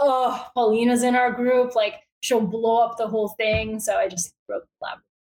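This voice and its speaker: Speaking in a fairly high pitch, a woman keeps a monotone, flat intonation at a moderate pace. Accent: Bulgarian. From Bulgaria. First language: Bulgarian. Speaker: newsletter founder, journalist. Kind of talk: interview. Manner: casual, filler-heavy (um, like).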